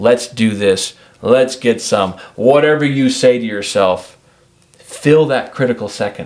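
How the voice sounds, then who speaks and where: A man with an ordinary speaking voice and an American accent talks at a fairly slow pace, his medium pitch showing ordinary variation. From Washington. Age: 40s. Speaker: shooting coach. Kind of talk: podcast interview.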